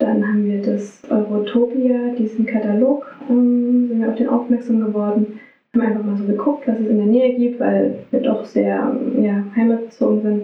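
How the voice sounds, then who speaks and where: A woman speaks at a moderate pace with fairly high pitch and monotone, flat intonation. Audible room echo and noticeable background noise surround her. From Saxony, Radebeul near Dresden. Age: 30s. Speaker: social worker and music therapist. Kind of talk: interview.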